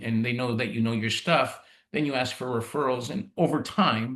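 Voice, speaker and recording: Talking at a moderate pace with a Canadian accent, a man with a plain, everyday voice keeps a medium pitch and ordinary pitch variation. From Canada (Ontario, Italian-Canadian community). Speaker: insurance executive. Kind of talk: podcast interview. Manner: casual, with many fillers and restarts.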